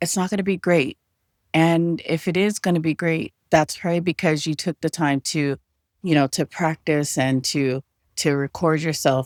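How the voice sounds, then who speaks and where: At a moderate pace and fairly low pitch, a woman speaks with fairly even intonation in a dry, close sound with no echo. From Samoan-American. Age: 40s. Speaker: content creator. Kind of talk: casual talk to camera.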